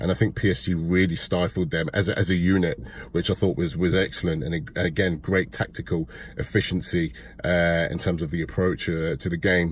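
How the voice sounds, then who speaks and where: With an East Midlands accent, a man talks at a fairly quick pace in a very deep, low pitch, showing vocal fry and fairly even intonation. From Leicester, England. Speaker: football fan commentator. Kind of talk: casual match review to camera.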